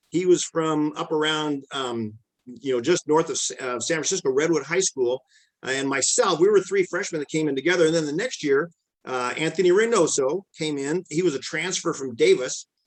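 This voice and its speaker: Using an unremarkable speaking voice with an American accent, a man speaks at a moderate pace and fairly high pitch, with ordinary pitch variation and a dry, close sound with no echo. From Lompoc, California. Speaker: former runner and teacher. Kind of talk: interview answer. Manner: casual, conversational.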